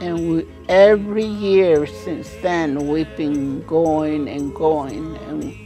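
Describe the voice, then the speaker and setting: A woman talks at a very slow pace while clear music plays behind her. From Mescalero, New Mexico. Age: 80s+. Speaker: senior athlete, archer. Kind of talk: interview answer. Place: home room.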